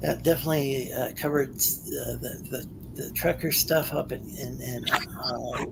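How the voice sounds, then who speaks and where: There is noticeable background noise in this clip. Over it, a man talks at a moderate pace. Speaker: call-in show host. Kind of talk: casual chat. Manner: halting, many repetitions.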